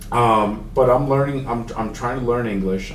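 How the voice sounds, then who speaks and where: In a Spanish accent, a man speaks at a moderate pace and medium pitch, with audible room echo and noticeable background noise. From Mexico, raised in Houston, Texas. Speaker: accessibility consultant. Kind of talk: podcast interview. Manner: casual, halting.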